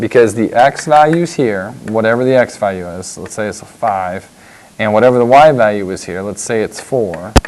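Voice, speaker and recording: A man with a medium-pitched voice keeps a moderate pace while noticeable background noise carries on around him. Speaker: math teacher. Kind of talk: tutorial.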